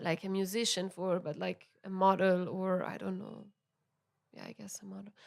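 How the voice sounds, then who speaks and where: A medium-pitched woman at a moderate pace, monotone and flat in intonation, with big swings in loudness. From Italy, Milan. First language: Italian. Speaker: musician. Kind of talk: podcast interview. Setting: recorded at venue. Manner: halting.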